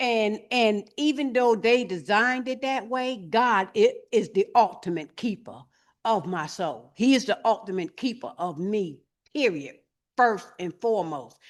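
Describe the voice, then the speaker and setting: Fairly slow, lively intonation from a woman with a fairly high pitch, over a quiet background. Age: 60s. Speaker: tiny home resident. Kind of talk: testimony. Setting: stage with audience. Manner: halting.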